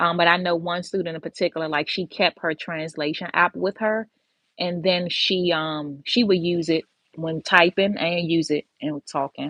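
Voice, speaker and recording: This woman has an unremarkable speaking voice with an American accent. Her pitch sits fairly low and her intonation stays fairly even. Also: moderate pace. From Washington DC. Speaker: medical assisting instructor. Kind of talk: live stream Q&A. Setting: livestream from office. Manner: casual, many fillers.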